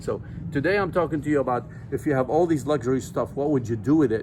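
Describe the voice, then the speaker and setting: The speaker has a non-native accent and ordinary pitch variation. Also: man. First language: not English. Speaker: nutrition supplement seller and vlogger. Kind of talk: casual vlog talk to camera. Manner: halting with fillers.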